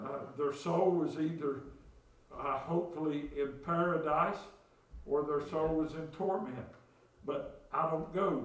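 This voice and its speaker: With an Appalachian accent and a fairly high pitch, a man speaks at a fairly slow pace with long, frequent pauses, amid audible room echo and noticeable background noise. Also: fairly even intonation. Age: 60s. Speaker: pastor. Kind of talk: sermon. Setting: church.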